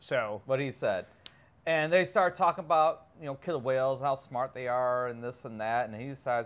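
At a moderate pace, a man speaks with ordinary pitch variation and big swings in loudness. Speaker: film review co-host. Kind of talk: casual film review chat. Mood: jokey, relaxed. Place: studio. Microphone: lapel.

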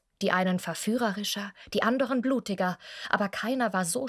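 Against a quiet background, a woman speaks at a moderate pace in a fairly high pitch with ordinary pitch variation. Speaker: voice actress. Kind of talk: humorous film recap reading. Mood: wry, humorous narration. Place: studio. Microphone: studio mic.

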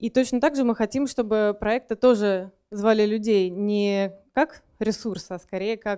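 This woman has a dark, mellow tone and ordinary pitch variation. The background is quiet. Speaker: conference speaker. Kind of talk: lecture. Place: hall. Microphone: handheld.

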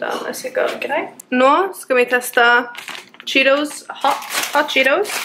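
The speech is very slow, broken by long, frequent pauses. Pitch varies in an ordinary way over noticeable background noise. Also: woman, high pitch for a woman. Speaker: vlogger. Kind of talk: vlog.

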